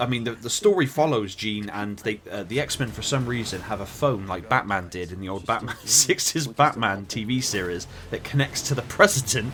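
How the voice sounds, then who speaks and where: A man with a West Country accent speaks in a medium pitch and a bright, sharp tone at a moderate pace, with hardly any pauses, ordinary pitch variation, and big swings in loudness. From West Country, England. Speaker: film reviewer. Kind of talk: casual film review monologue. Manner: halting, many fillers.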